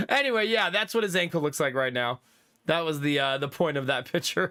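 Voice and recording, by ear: A man with a fairly high pitch and a bright, sharp tone talks at a fairly quick pace with ordinary pitch variation, in a very clean recording with a silent background.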